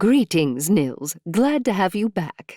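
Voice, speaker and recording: A man puts on a high-pitched character voice and speaks at a fairly slow pace in a very clean recording with a silent background. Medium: read story. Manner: polite, eager.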